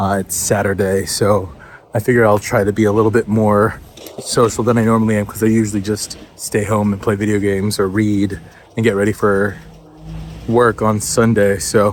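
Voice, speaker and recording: Noticeable background noise sits under a man speaking at a moderate pace. His fairly low pitch stays monotone, with flat intonation. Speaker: vlogger. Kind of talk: casual vlog talk. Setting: outdoors.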